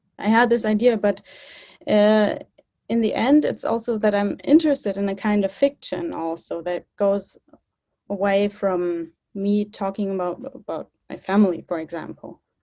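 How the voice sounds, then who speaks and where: A woman's dark, mellow tone at medium pitch, with ordinary pitch variation and a moderate pace. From Germany. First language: German and English (bilingual). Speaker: filmmaker. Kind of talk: interview. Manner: halting.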